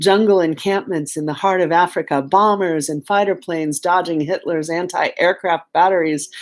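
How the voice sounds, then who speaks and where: At a moderate pace, a woman talks in a normal speaking voice with a fairly low pitch and fairly even intonation. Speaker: poet and artist reading a book aloud. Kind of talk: memoir reading aloud. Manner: calm, reflective.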